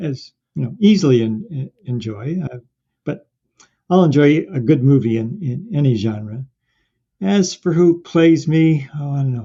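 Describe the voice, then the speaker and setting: A man speaks at a fairly slow pace, his voice somewhat breathy and fairly high in pitch. His intonation is lively. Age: 70s. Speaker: marathon runner. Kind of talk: interview.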